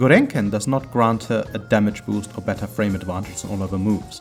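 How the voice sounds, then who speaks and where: Very fast speech from a man, with music behind it. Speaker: gamer, tutorial creator. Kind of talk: video game tutorial narration.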